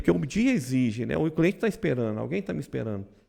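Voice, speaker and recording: A man with a dark, mellow tone and vocal fry makes very wide pitch swings on a very clean recording with a silent background. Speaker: insurance brokerage owner. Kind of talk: podcast conversation. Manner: loud; fast.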